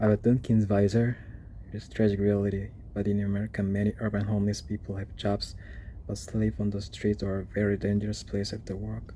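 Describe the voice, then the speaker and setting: Quiet and somewhat breathy, the voice has a dark, mellow tone and monotone, flat intonation at a fairly quick pace. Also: man, fairly low pitch for a man. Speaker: urban explorer video creator. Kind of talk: exploration vlog narration. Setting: indoors in an abandoned jail. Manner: quiet, low voice.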